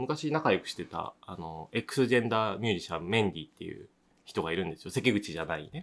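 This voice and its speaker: A man talks with very wide pitch swings. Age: 40s. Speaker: podcast host and bar owner. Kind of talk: casual chat.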